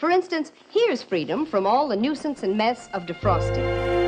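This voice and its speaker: Noticeable background noise sits behind a woman whose high voice makes very wide pitch swings at a moderate pace. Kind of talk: vintage TV commercial read.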